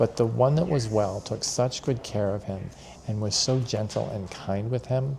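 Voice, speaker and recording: A man's unremarkable speaking voice, an unremarkable speaking voice at medium pitch and a moderate pace. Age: 60s. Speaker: senior center volunteer. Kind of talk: interview.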